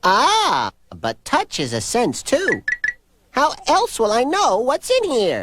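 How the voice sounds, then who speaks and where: A cartoonish character voice at a very slow pace. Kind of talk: children's cartoon comedy. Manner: jokey, playful.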